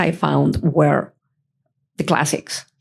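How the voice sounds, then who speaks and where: A woman speaks very slowly with a non-native accent. Vocal fry runs through her voice. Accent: foreign accent, noticeable. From outside the US, Spanish-speaking country. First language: Spanish. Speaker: audience member. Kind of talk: Q&A comment at conference session. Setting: conference session with audience.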